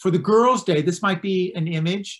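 The background stays quiet while a man talks at a moderate pace. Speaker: presenter. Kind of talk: lecture. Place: home room. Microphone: webcam.

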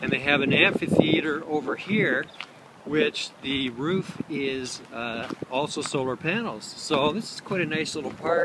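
With loud background noise behind him, a man speaks at a fairly slow pace with ordinary pitch variation, the sound dry with no echo. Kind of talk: casual vlog chat. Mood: mildly enthusiastic. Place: garden. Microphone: phone near.

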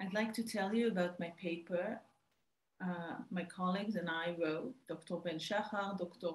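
A woman speaks with fairly even intonation and a somewhat breathy voice. There is audible room echo. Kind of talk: research presentation. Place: home room. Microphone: webcam.

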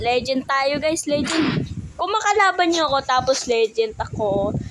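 A woman's lively intonation comes through noticeable background noise as she speaks fairly slowly. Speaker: gaming YouTuber. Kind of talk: gameplay commentary. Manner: animated.

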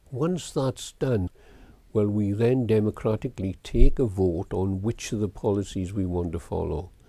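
Fairly low-pitched male speech with a South Wales Valleys accent, a dark, mellow tone, ordinary pitch variation and a moderate pace, on a very clean recording with a silent background. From Wales, Darran Valley. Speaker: school governors chairman. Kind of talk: oral history interview.

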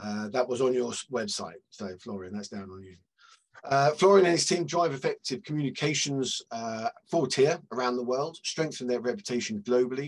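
A man in a British accent speaks at a moderate pace with lively intonation. His loudness swings widely. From Britain. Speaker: media analytics consultant and webinar moderator. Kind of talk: webinar panel discussion. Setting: video call. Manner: friendly, jokey. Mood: friendly, light humor. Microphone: headset.

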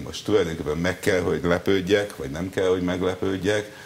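A man's very deep, low voice with ordinary pitch variation, over light background noise. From Hungary. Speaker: sports journalist. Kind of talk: TV interview. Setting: TV studio. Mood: wry, disappointed about football. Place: studio. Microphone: lapel.

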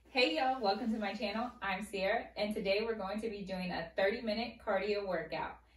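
Over audible room echo, a woman talks at a very fast pace with ordinary pitch variation. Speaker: fitness instructor. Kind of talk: workout video intro. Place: home room. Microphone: camera far.

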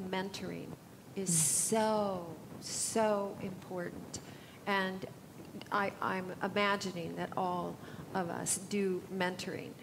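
Over noticeable background noise, a woman with an American accent speaks at a very slow pace in a monotone, flat intonation with long, frequent pauses. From United States. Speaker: environmental policy advocate; panelist. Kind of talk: panel discussion. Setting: conference stage with audience. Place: hall. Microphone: headset.

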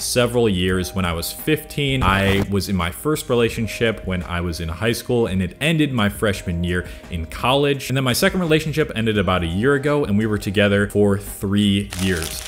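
A man speaks at a moderate pace with hardly any pauses, his pitch fairly low. Faint music plays in the background. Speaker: video creator. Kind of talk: casual vlog chat. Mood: earnest, reflective. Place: home room. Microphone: studio mic.

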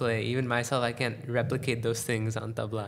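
A man speaks at a medium pitch in an American accent. Audible room echo surrounds the recording. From United States. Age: young. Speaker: tabla player. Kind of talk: casual interview.

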